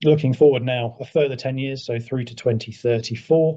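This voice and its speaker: Over a quiet background, a man with a British accent speaks at a medium pitch with ordinary pitch variation, his tone dark and mellow and his voice somewhat breathy. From England. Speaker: emergency services consultant. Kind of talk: presentation to council.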